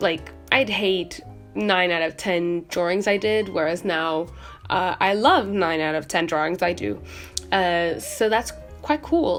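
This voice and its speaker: A woman's fairly low voice, relaxed in tone with lively intonation, at a fairly slow pace over background music. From Portugal. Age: young. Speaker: art student, artist. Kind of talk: casual talk to camera while painting. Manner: relaxed, hesitant, many fillers.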